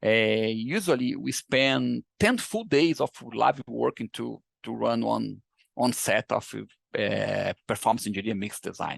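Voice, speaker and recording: A man with a Brazilian Portuguese accent talks at a fairly slow pace, the sound dry and close with no echo. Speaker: engineering researcher. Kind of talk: lecture. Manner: halting. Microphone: poor sound on his end.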